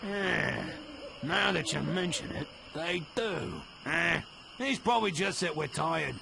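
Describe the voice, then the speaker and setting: Amid clear background noise, a man does a put-on character voice with a high pitch, a fairly slow pace, and long, frequent pauses. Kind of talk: pirate lingo. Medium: machinima. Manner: gruff, sarcastic.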